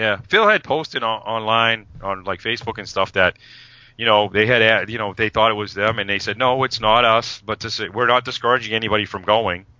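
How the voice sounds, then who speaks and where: With an unremarkable speaking voice, a man talks at a fairly quick pace using fairly even intonation. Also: medium pitch for a man. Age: 40s. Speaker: music fan and collector. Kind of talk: casual chat.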